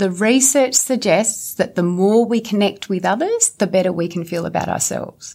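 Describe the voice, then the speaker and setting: A woman with an Australian accent speaks at a medium pitch and moderate pace, her pitch varying in an ordinary way. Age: 40s. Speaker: clinical psychologist. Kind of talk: interview.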